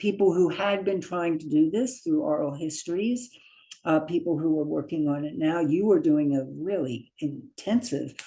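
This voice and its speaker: This voice has a dark, mellow tone and an American accent. It moves at a moderate pace with ordinary pitch variation. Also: woman. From US, Baltimore, Maryland. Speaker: geometer and community historian. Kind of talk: interview. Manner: halting, many fillers.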